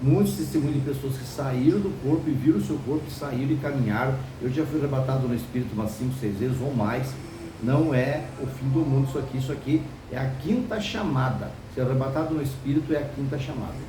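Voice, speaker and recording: Over noticeable background noise and audible room echo, a man speaks at a fairly quick pace, with a medium pitch and fairly even intonation. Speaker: preacher. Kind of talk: sermon. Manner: fast.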